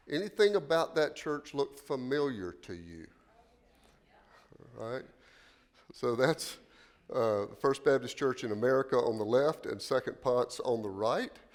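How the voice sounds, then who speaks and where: Lively intonation and big swings in loudness at a fairly slow pace, with long, frequent pauses. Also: man, medium pitch for a man. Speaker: pastor. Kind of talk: lecture. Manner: halting.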